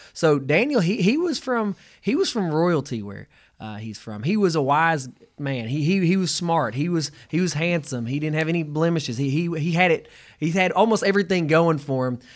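In a very clean recording with a silent background, a man with an unremarkable speaking voice talks at a moderate pace, with a fairly high pitch and lively intonation. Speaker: podcast co-host. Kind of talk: casual chat.

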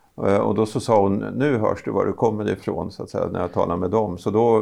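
A man speaks at a fairly quick pace in a fairly low pitch. His dark, mellow tone carries vocal fry. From Östergötland, Norrköping area. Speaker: university vice-chancellor, podcast co-host. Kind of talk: casual interview chat.

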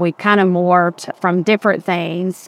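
A woman speaks at a moderate pace in a fairly low voice with fairly even intonation, recorded very cleanly against a silent background with a dry, close sound and no echo. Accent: Southern US. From West Georgia, US South. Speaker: state utility regulator staff director. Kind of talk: interview conversation. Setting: outdoors on a rooftop.

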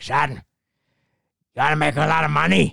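A man puts on a raspy character voice, fairly high in pitch and delivered at a fairly quick pace.

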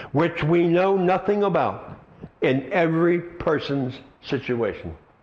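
A man at a high pitch and a very slow pace, ordinary pitch variation, amid noticeable background noise. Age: 70s. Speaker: pastor. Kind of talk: sermon. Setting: church.

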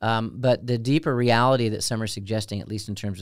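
A man with an American accent has an unremarkable speaking voice, fairly low in pitch. The recording is very clean with a silent background. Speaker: deacon, podcast co-host. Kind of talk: casual chat.

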